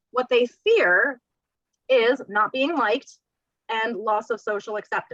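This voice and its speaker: Loud and bright with a sharp tone, a woman's fairly high voice comes through in a dry, close sound with no echo. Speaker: real estate career trainer. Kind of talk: training presentation.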